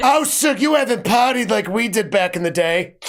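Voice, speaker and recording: A man puts on a raspy character voice pitched high, talking at a moderate pace. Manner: reminiscing, teasing, worldly.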